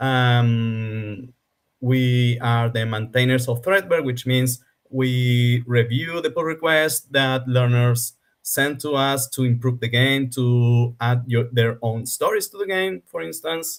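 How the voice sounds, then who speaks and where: Very slow speech from a man, medium in pitch and with ordinary pitch variation. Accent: Spanish. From Argentina. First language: Spanish. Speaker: game developer. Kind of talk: interview.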